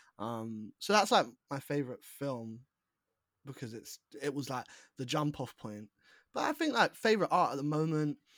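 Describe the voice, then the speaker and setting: On a very clean recording with a silent background and a dry, close sound with no echo, a man with a London accent speaks at a fairly high pitch and moderate pace, with big swings in loudness and long, frequent pauses. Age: 20s. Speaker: writer, author and actor. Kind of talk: casual interview chat. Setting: call.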